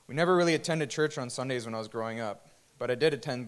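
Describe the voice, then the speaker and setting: A man's medium-pitched voice at a very fast pace. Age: 20s. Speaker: church worship musician. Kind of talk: testimony. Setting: church.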